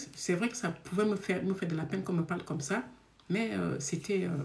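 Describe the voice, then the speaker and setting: A woman talks fairly quickly in a fairly low pitch with ordinary pitch variation. Background noise is noticeable. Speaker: love coach and speaker. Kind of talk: live stream talk. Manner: naturally fast talker.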